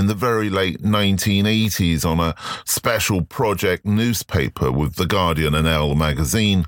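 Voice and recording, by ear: With few pauses, a man talks at a moderate pace, his low pitch showing ordinary variation.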